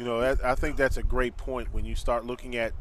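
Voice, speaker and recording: A man with an American accent, music in the background. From US North. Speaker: play-by-play announcer. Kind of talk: live commentary.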